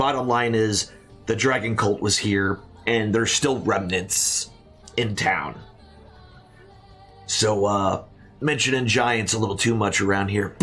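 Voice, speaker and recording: Over clear background music, a man puts on a raspy character voice at a medium pitch and a moderate pace. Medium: actual play. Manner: folksy, rambling.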